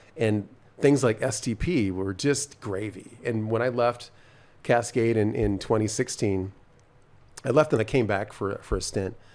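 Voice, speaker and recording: This is an ordinary speaking voice, a man's, at a medium pitch. He talks at a fairly slow pace with ordinary pitch variation. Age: 60s. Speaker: cycling program founder. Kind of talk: casual chat.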